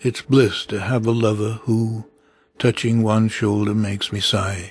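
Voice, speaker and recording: A somewhat breathy, monotone voice with flat intonation at a fairly slow pace, in a very clean recording with a silent background. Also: man. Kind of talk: poetry reading.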